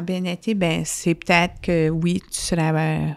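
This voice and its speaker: Speaking in a New Brunswick accent, a woman with a fairly low pitch uses monotone, flat intonation at a moderate pace in a very clean recording with a silent background. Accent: Brayon (Madawaska New Brunswick French). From Madawaska region, northwest New Brunswick (Brayon Acadian). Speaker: hospital foundation director. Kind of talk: interview conversation.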